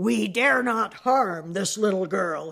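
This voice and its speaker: A put-on character voice with a raspy edge at a middle pitch. It moves at a fairly slow pace. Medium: read story.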